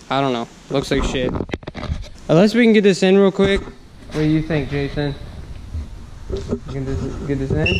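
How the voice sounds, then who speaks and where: Against noticeable background noise, a man speaks at a moderate pace in a fairly high pitch. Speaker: car enthusiast vlogger. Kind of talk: casual vlog in garage. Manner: casual, profane. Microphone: poor mic.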